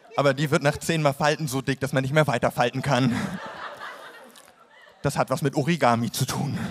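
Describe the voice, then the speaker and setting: With noticeable background noise behind him, a man talks at a fairly quick pace in a deadpan tone, his pitch fairly high and his intonation fairly even, leaving long, frequent pauses. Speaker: poetry slam performer. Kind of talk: comic poetry slam performance. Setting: live stage, audience.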